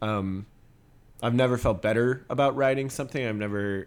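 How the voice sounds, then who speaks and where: A man with a plain, everyday voice talks at medium pitch with fairly even intonation. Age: 20s. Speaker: rock band vocalist and musician. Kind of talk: casual interview.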